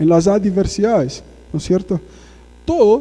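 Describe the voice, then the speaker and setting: A man speaks in a high pitch for a man with a dark, mellow tone and lively intonation. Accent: Portuguese. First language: Portuguese (speaking Spanish). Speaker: guest preacher. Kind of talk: sermon. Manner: conversational, frequent tag questions.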